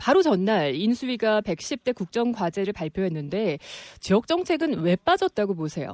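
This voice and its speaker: Against a silent background in a very clean recording, a woman speaks at medium pitch and moderate pace with very wide pitch swings, the sound dry and close with no echo. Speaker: radio news anchor. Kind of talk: radio current-affairs interview.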